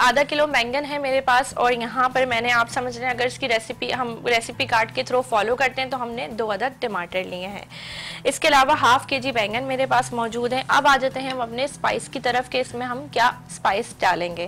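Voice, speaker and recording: A woman speaks at a high pitch. There is light background noise. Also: ordinary pitch variation, moderate pace. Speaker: cooking show host. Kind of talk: tutorial. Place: studio.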